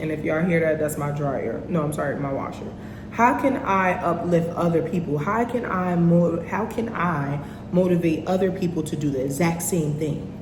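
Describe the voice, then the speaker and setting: A woman speaks at a moderate pace with a fairly low pitch and ordinary pitch variation. Noticeable background noise and audible room echo surround her voice. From North New Jersey. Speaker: podcast host. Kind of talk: casual monologue. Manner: animated.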